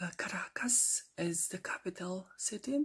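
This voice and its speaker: A woman speaks at a very slow pace and a medium pitch. She is soft-spoken and somewhat breathy. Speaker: ASMR creator. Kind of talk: ASMR geography facts talk to camera.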